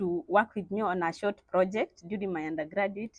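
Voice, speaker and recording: With a Kenyan accent, a woman speaks at medium pitch and a moderate pace. Her pitch varies in an ordinary way, and the sound is dry and close with no echo. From eastern Kenya, village. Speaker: PhD student in astrophysics. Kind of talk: radio interview. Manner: halting, with fillers.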